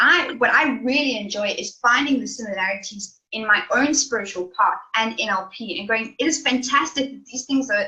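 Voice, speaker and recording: There is music in the background as a woman speaks at a high pitch. Her intonation is lively and her pace moderate. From South Africa. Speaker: life coach. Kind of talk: interview answer.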